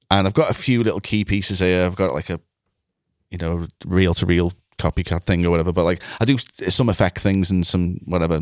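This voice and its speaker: Speaking with a Liverpool accent, a man uses a very deep, low pitch and ordinary pitch variation at a fairly quick pace, with a dry, close sound with no echo on a very clean recording with a silent background. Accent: Scouse (Liverpool). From Liverpool area, England (Bootle). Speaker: music producer and mixing engineer. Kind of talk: casual chat.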